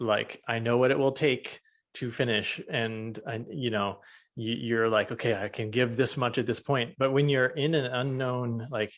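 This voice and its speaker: With an American accent, a man speaks in a normal speaking voice at medium pitch and a moderate pace, his intonation fairly even against a quiet background. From US Midwest, Chicago area. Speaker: podcast host. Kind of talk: interview. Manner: uses many filler words.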